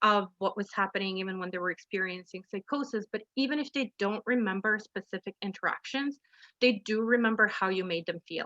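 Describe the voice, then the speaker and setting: Loud and fairly high-pitched, a woman speaks at a moderate pace with a bright, sharp tone, ordinary pitch variation, and a dry, close sound with no echo. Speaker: drop-in centre manager, webinar speaker. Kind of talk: webinar presentation. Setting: video call. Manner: animated.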